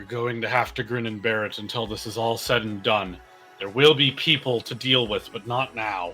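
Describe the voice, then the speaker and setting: A man uses a put-on character voice at a medium pitch. He moves at a moderate pace while clear music plays in the background. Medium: actual play.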